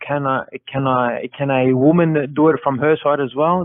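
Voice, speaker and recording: Speaking in an English accent, this man has a fairly high pitch. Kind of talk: call-in debate.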